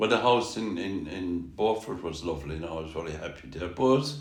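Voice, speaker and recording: In a Kerry accent, a man talks with very wide pitch swings. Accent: Kerry Irish. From Tralee, Ireland. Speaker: musician. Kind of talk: interview answer.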